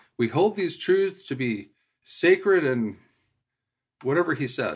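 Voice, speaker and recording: A man with an American accent at a fairly slow pace. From Utah. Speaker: environmental lawyer. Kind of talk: casual interview.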